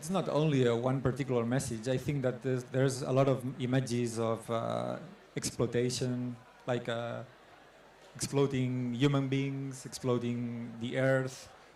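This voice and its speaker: A man speaks in a monotone with flat intonation, and audible echo fills the room. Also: medium pitch for a man, moderate pace. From Catalonia, Spain. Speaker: photographer. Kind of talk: artist talk Q&A. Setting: stage with audience. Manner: halting.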